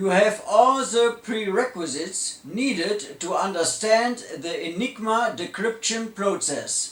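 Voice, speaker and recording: With a German accent, a man speaks at a very slow pace in a high pitch with ordinary pitch variation, over noticeable background noise. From Germany. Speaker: electronics engineer. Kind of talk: lecture.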